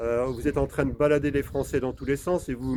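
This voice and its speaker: Fairly even intonation in a man's dark, mellow tone. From France. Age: 60s. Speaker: political video blogger. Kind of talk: political monologue. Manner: hesitant, many filler sounds; impassioned.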